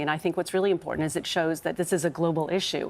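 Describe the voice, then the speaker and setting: A woman with a North American accent speaks at a very fast pace, with vocal fry. Her fairly low voice stays flat and monotone. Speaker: bereaved parent campaigner. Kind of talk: TV interview. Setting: TV studio sofa. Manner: halting.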